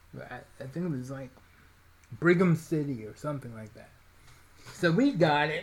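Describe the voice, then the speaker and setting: Somewhat breathy voice with long, frequent pauses. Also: man, fairly high pitch for a man, ordinary pitch variation, moderate pace. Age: 40s. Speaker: podcast co-host. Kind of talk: casual chat.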